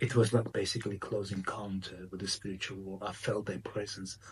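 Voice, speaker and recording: At a moderate pace, a man talks in a somewhat breathy, fairly low voice. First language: not English. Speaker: spiritual medium and author. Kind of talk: interview. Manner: halting.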